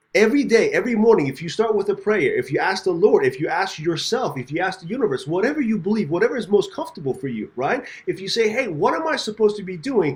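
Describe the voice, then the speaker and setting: Very wide pitch swings mark this man's high voice. He talks at a very fast pace with hardly any pauses over noticeable background noise. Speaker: podcast host. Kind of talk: podcast interview talk. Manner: upbeat.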